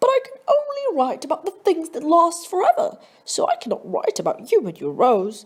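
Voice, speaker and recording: A put-on character voice moves at a moderate pace with very wide pitch swings. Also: woman, extremely high pitch for a woman. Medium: read story.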